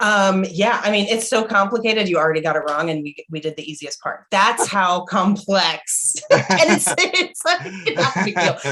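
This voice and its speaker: With lively intonation, the speech moves at a moderate pace with hardly any pauses over noticeable background noise. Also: woman, medium pitch for a woman. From Kuwait. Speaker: comedian. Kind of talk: interview.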